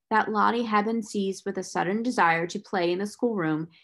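Pitch moves in an ordinary way here. The reading voice is unforced.

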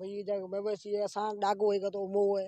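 The delivery is fairly quick, with monotone, flat intonation. The tone is dark and mellow. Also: man, high pitch for a man.

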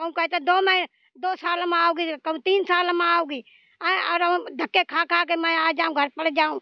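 With a rural Haryanvi accent, a woman speaks at an extremely high pitch and a moderate pace, her intonation fairly even, in a dry sound with no echo and a quiet background. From Haryana, India (Rohtak); Haryana, India. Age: old. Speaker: elderly pensioner. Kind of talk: interview, angry complaint. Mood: angry, scolding complaint. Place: open country. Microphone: handheld.

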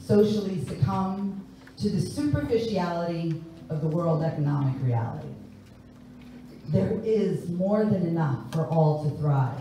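There is strong room echo and light background noise as a woman with an American accent speaks at a fairly slow pace, her pitch swinging very widely. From New York. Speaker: singer and spoken word performer. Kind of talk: spoken word poetry performance. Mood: reflective, earnest. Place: church.

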